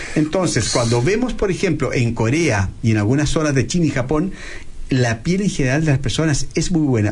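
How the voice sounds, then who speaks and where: Audible room echo and noticeable background noise surround a man with a fairly high voice, who talks at a fairly quick pace with lively intonation and very even loudness. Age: 50s. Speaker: plastic surgeon. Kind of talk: interview.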